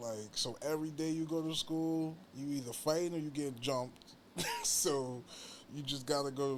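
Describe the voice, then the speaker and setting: A man with a New York accent, fairly high pitch and fairly even intonation at a moderate pace, with noticeable background noise and audible room echo. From New York, Long Island (Hempstead). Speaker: pro wrestler and musician. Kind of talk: casual interview chat.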